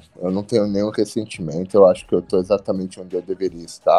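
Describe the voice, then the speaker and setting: A man is speaking. Music plays in the background. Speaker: professional wrestler. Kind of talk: interview.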